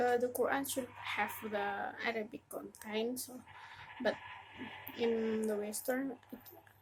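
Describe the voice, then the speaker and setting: Amid noticeable background noise, a woman with an Indonesian accent speaks at a fairly slow pace with long, frequent pauses, her fairly high voice showing ordinary pitch variation. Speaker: religious educator. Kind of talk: casual tutorial. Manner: halting.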